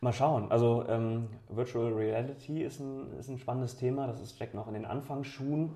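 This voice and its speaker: A somewhat breathy, dark, mellow tone at a moderate pace, fairly even in intonation, with audible room echo. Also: man, medium pitch for a man. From Bremen, northern Germany. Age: 30s. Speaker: regional politician and entrepreneur. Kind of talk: interview. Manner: hesitant with fillers.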